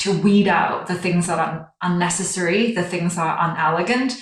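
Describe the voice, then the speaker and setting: A woman's fairly low-pitched voice with fairly even intonation, set in audible room echo. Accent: Chinese. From China. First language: Chinese. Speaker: brand design director. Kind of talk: interview.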